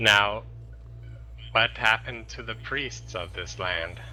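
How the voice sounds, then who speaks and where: A man uses a put-on character voice at a fairly slow pace. Clear background noise runs underneath. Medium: actual play. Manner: formal, preachy.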